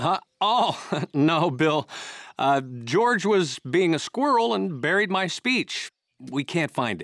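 Talking at a slow pace, a man puts on a character voice with a fairly high pitch, a fairly bright tone and big pitch swings.

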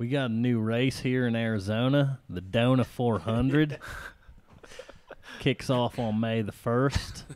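A put-on character voice drawls in a Southern US accent. It moves at a fairly slow pace with long, frequent pauses. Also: man, medium pitch for a man. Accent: Southern American. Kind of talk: sports announcer. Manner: exaggerated drawl.

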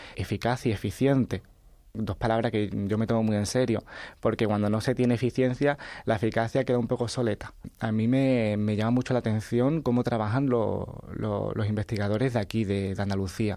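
A man speaks at a fairly quick pace in a dark, mellow tone, with fairly even intonation and very even loudness. The sound is dry with no echo, and the background is quiet. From Andalusia, Chiclana (Cádiz); Andalusia. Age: 20s. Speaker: science writer; interview guest. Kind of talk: radio interview. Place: studio.

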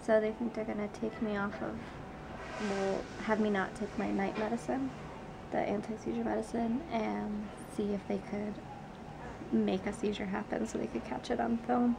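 A woman at a moderate pace, with long, frequent pauses and noticeable background noise. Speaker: patient vlogger. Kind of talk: casual video diary talk to camera. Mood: calm, matter-of-fact. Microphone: phone near.

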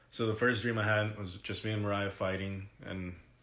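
A man talks at a moderate pace while room echo is audible around him. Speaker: vlogger. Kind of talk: casual vlog chat, personal story. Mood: serious, reflective. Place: home room. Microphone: phone near.

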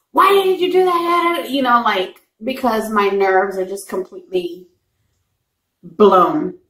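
Speaking fairly slowly in an American accent, a woman swings her pitch very widely while the room echo stays audible. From Texas, San Antonio; Texas. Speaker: mukbang YouTuber; mukbang vlogger. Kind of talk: casual chat. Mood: earnest, a bit exasperated. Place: home room. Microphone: phone near.

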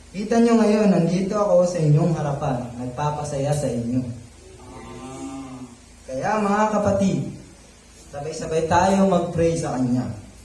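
Over noticeable background noise, a man speaks at a fairly high pitch for a man. His pace is fairly slow and his intonation lively. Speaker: youth preacher. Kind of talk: sermon. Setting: live audience. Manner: animated; interactive, jokey.

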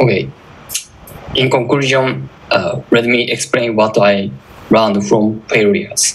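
A man with a Japanese accent talks at a fairly slow pace in a medium pitch, his intonation lively, with long, frequent pauses and noticeable background noise. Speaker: security researcher. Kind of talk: conference talk.

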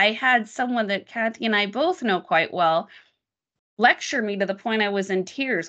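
A woman with a General American accent talks loudly at a moderate pace against a quiet background. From Las Vegas, Nevada. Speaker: tech product marketing manager; guest. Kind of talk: presentation on a video call. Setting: video call. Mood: earnest, reflective. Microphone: video call.

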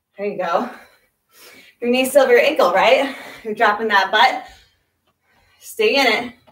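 A woman's voice at a moderate pace with ordinary pitch variation, with audible room echo and a quiet background. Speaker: fitness instructor. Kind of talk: workout coaching cues. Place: home room. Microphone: camera far.

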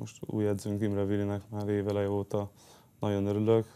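A man speaks at a fairly low pitch and a moderate pace. His tone is dark and mellow. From Hungary. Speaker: handball player; guest. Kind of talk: interview. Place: studio. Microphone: lapel.

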